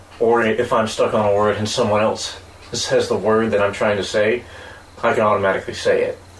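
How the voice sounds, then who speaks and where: Amid noticeable background noise and audible room echo, a man talks at a fairly quick pace with very even loudness. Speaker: podcast co-host. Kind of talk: casual chat.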